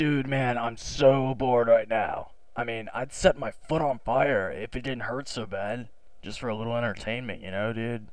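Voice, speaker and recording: A man drawls in a put-on character voice. His pitch is medium and his pace moderate. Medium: cartoon. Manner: laid-back slacker drawl, says "dude" and "man" constantly.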